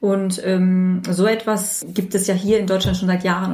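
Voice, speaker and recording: Spoken at a moderate pace in a monotone, flat intonation, the voice comes with noticeable background noise and audible room echo. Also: woman. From Germany, Turkish parents. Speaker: dentist. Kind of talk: casual chat. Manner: hesitant, many fillers.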